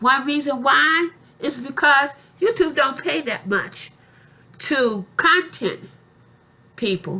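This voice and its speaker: Raised and projected, a woman's high, bright, sharp voice moves very slowly through long, frequent pauses while her pitch swings very widely. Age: 60s. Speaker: YouTuber. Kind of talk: casual vlog monologue. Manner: repetitive, halting.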